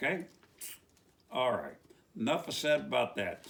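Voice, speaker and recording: Speaking with an American accent, a man talks at a moderate pace in an animated tone. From West Virginia. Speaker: preacher. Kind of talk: religious commentary monologue.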